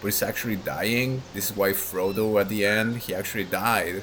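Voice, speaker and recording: At a moderate pace, a man with a non-native accent speaks over noticeable background noise. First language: not English. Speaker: gaming lore youtuber. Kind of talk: casual monologue. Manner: rambling, hesitant with fillers.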